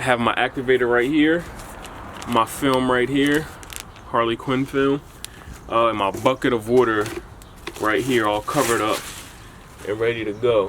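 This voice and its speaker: A man with a medium-pitched voice talks at a moderate pace with fairly even intonation and long, frequent pauses, over noticeable background noise. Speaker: sneaker customizer YouTuber. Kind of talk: DIY tutorial. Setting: outdoors. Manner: casual.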